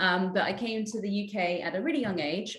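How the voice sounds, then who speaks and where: In a London accent, a woman speaks at a fairly quick pace with fairly even intonation. Noticeable background noise and audible room echo fill the recording. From London, England. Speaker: politician. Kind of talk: panel discussion. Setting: video call.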